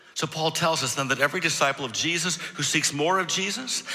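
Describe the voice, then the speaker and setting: A man speaks at a moderate pace with lively intonation and a fairly high pitch. Noticeable background noise is present. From Michigan. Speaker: pastor. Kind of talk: sermon. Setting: church.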